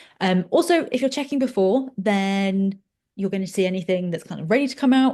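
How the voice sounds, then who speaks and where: In a quiet background, a woman with a somewhat breathy, medium-pitched voice talks at a fairly quick pace with ordinary pitch variation. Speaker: fertility educator. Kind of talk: educational webinar. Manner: fast.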